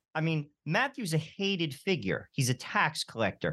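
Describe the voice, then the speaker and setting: Fairly high in pitch, a man with an American accent speaks at a moderate pace. His pitch swings very widely against a quiet background. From New Jersey. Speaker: radio host. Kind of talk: radio interview.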